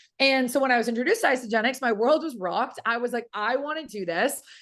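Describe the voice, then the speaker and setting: A woman's high, energetic voice with an American accent at a fairly quick pace over a quiet background. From Boston, US Northeast. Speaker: network marketing business owner. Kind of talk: testimony. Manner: fast.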